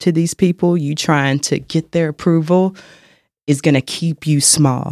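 In an ordinary speaking voice, a man with an American accent talks at a moderate pace with fairly even intonation. The sound is dry and close with no echo, on a very clean recording with a silent background. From North Carolina, Charlotte. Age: 30s. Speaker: fitness instructor. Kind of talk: podcast interview.

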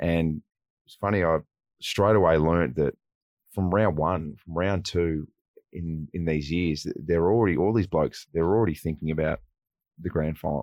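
A man with an Australian accent, very deep and low in pitch, fairly even in intonation, big swings in loudness, moderate pace and long, frequent pauses. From country New South Wales, Australia (Wagga Wagga). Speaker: former footballer and TV presenter. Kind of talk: casual interview. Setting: radio studio.

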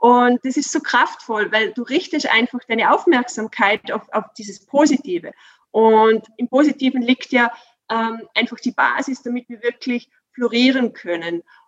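A woman with a high pitch speaks at a fairly slow pace, her pitch varying in an ordinary way and her loudness swinging widely, in a dry, close sound with no echo. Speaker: workplace coach. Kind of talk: interview. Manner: animated; halting.

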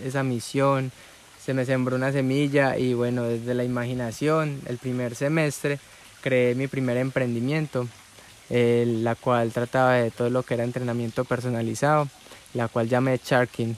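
Over noticeable background noise, a man at a medium pitch talks at a moderate pace with monotone, flat intonation. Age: 20s. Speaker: entrepreneur and podcaster. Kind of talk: personal storytelling monologue.

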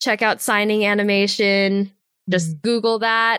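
The voice comes in an American accent at a fairly slow pace. The recording is very clean, with a silent background. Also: woman. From US, Los Angeles area. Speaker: animation assistant director. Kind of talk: interview conversation.

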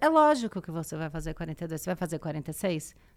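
A woman speaks at a fairly slow pace with very wide pitch swings. The recording is very clean, with a silent background. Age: 40s. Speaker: podcaster and writer. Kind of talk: casual chat.

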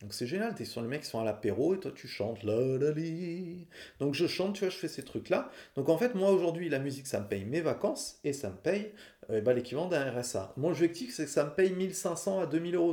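A man speaks at a moderate pace in a fairly high pitch, with a dark, mellow tone and lively intonation. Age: 40s. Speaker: singer-songwriter and podcaster. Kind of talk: personal storytelling monologue. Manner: casual, conversational.

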